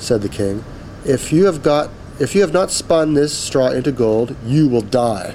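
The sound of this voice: The voice here is an unforced reading voice.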